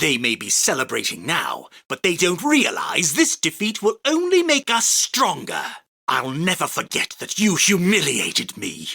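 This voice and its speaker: A man's high-pitched, put-on character voice at a moderate pace, with a dry, close sound and no echo. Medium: dub. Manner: commanding, boastful.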